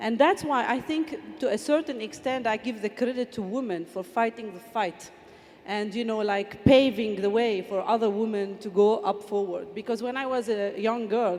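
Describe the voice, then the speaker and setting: Amid noticeable background noise, a woman with a fairly high voice talks at a moderate pace with ordinary pitch variation. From Palestine, Bethlehem. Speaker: football official, former player. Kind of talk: panel discussion. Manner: halting, many fillers.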